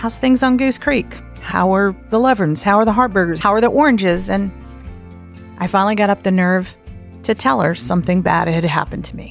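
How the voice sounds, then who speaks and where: A fairly quick American accent over music in the background. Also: woman, medium pitch for a woman. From Southern United States. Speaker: podcast host, storyteller. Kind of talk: podcast host intro and personal story.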